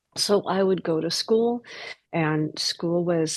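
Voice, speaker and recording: A woman with an American accent speaks at a fairly slow pace in an ordinary speaking voice. Her pitch is medium, with ordinary variation. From United States. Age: 60s. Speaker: trafficking survivor sharing testimony. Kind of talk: testimony. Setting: podcast interview.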